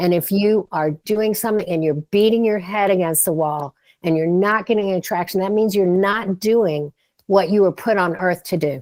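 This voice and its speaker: At a moderate pace and medium pitch, a woman speaks with ordinary pitch variation in a plain, everyday voice. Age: 60s. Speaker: startup advisor and author. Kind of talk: podcast interview. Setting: studio.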